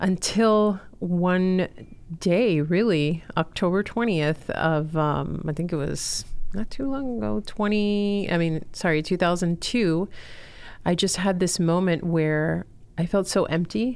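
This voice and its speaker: The very clean recording, with a silent background, has a woman speaking in an ordinary speaking voice with an American accent, fairly low pitch and lively intonation. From Miami, Florida (Chilean family). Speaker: school co-founder and mother. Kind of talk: testimony.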